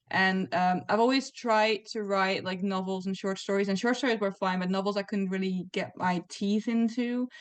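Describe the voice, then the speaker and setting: Medium in pitch, a woman speaks with a non-native accent. Her pace is moderate. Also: fairly even intonation, quiet background. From Netherlands. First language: not English. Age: 20s. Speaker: comic writer. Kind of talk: interview.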